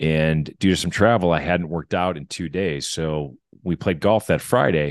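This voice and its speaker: A man with an American accent, very deep and low in pitch with ordinary pitch variation, in a dry, close sound with no echo and a quiet background. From Wisconsin, US Midwest. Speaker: fitness entrepreneur. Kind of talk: casual chat.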